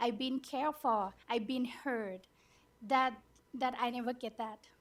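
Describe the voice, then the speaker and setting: High-pitched woman with a non-native accent, fairly even intonation, and a fairly slow pace. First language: not English. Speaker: abuse survivor, program participant. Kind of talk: testimony. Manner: halting.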